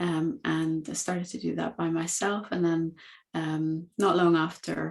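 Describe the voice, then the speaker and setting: Speaking fairly slowly with a Dutch accent, a woman uses a fairly low pitch and fairly even intonation. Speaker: coaching academy founder. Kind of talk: podcast interview.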